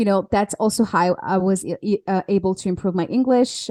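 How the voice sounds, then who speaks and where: At a medium pitch and moderate pace, a woman speaks in a dark, mellow tone with fairly even intonation. The sound is dry and close with no echo, on a very clean recording with a silent background. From France. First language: French. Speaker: alignment coach. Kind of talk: podcast interview. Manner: halting.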